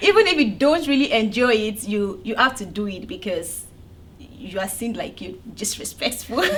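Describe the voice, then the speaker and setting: Over noticeable background noise and audible room echo, a woman with a Nigerian accent speaks at a moderate pace and a fairly high pitch, with lively intonation and big swings in loudness. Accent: Nigerian (Yoruba) English. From Nigeria, Abeokuta (southwest, Yoruba). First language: Yoruba. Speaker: data analyst. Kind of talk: interview.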